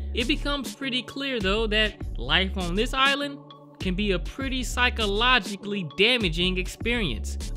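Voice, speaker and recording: The speech moves at a moderate pace. Music sounds in the background. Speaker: film recap narrator. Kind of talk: commentary.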